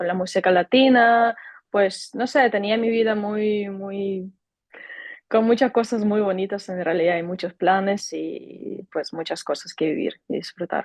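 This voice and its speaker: A woman's medium-pitched voice with a Ukrainian accent. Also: ordinary pitch variation, fairly slow pace. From Ukraine. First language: Ukrainian (speaking Spanish). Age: 20s. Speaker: volunteer. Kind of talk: interview.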